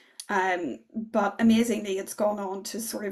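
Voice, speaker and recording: Somewhat breathy, a woman speaks with a Northern Irish accent and ordinary pitch variation. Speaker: political philosopher. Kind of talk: academic lecture.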